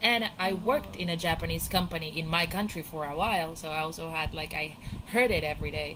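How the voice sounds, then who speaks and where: A woman talks at a very fast pace in a fairly low pitch. Her tone is bright and sharp, with vocal fry. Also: ordinary pitch variation. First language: not English. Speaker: VR chat participant. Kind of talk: casual chat.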